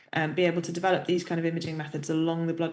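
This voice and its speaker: A woman's voice with audible room echo. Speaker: professor. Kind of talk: lecture.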